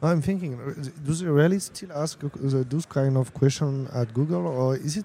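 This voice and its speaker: With a French accent, a man talks at a fairly slow pace, his fairly high pitch showing ordinary variation. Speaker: interviewer. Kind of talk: interview. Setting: tech conference.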